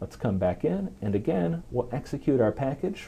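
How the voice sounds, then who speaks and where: Dark, mellow tone in a man's voice. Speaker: software program manager. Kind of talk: tech demo presentation.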